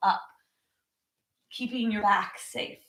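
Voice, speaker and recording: A woman talks loudly at a moderate pace. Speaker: yoga teacher. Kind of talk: guided yoga class.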